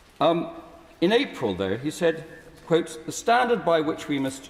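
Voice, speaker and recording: Very wide pitch swings mark this fairly quick speech in an English accent, with noticeable background noise behind it. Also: man. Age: 70s. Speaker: peer in parliamentary debate. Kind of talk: parliamentary speech. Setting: House of Lords chamber. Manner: formal.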